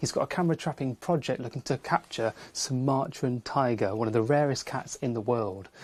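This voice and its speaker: At a fairly quick pace, a man speaks at medium pitch with ordinary pitch variation, captured in a dry, close sound with no echo. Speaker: wildlife TV presenter. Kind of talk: nature presenting to camera. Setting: in a wildlife hide. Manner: speaking quietly.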